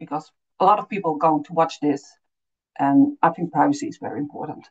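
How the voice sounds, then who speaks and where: A woman speaks with a Dutch accent. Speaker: refugee support consultant. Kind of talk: webinar presentation. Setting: online webinar. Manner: halting, many fillers.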